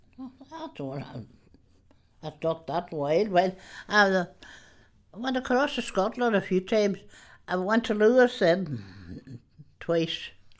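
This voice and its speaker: A woman's medium-pitched voice with very wide pitch swings and big swings in loudness, at a fairly slow pace with long, frequent pauses, on a very clean recording with a silent background. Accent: Donegal. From Ireland, rural Donegal. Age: 80s+. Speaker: retired countrywoman, interviewee. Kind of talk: reminiscing interview. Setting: her home.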